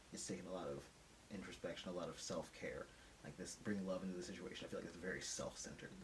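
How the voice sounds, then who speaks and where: Very deep and low-pitched, a man speaks very fast in a monotone, flat intonation, with audible room echo. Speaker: tarot reader. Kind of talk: intuitive tarot reading monologue. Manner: casual, conversational.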